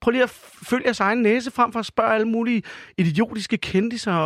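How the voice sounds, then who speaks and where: A man talks at a very fast pace with a high pitch and fairly even intonation. The sound is dry and close, with no echo. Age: 40s. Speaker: restaurant owner. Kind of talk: comedic radio chat.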